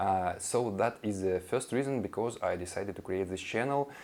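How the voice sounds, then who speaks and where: This man speaks with a Russian accent in a fairly low voice. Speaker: language teacher vlogger. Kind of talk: casual intro monologue. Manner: halting, many fillers.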